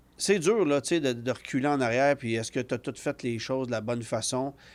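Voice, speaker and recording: Lively in intonation, a man speaks in a Quebec accent on a very clean recording with a silent background. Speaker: automotive journalist. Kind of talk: podcast interview. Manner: casual, frequent fillers and repetitions.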